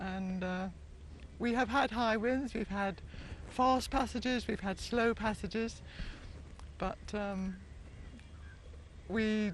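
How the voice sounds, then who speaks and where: Somewhat breathy and fairly high-pitched, a woman talks at a very slow pace with fairly even intonation and long, frequent pauses. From England. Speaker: sailor, former real estate agent. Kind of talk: interview answer.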